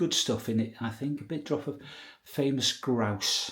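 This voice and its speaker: A man with a British accent at a moderate pace. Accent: British regional. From UK, rural village. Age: 60s. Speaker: vlogger. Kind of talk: casual vlog monologue. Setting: outdoors, walking through village; at home indoors.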